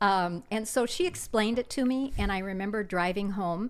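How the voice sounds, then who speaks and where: With an American accent, a woman talks at a moderate pace in an unremarkable speaking voice with ordinary pitch variation, captured in a very clean recording with a silent background. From US Midwest, South Dakota. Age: 60s. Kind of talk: testimony.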